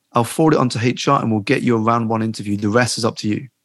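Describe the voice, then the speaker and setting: Against a quiet background, a man with a British accent speaks at a medium pitch. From UK, Chinese family. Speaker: life coach and author. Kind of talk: interview.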